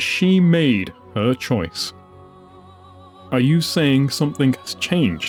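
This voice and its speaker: In a gruff, put-on character voice at a medium pitch, a man speaks very slowly with very wide pitch swings and long, frequent pauses while clear music plays in the background. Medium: read story. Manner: curt, commanding.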